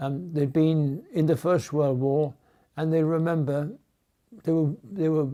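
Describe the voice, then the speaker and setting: Speaking in a Geordie accent at a fairly slow pace, a man has a fairly high pitch and a dark, mellow tone. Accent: Geordie (Newcastle English). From Newcastle, England. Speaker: war memories witness. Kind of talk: personal reminiscence interview.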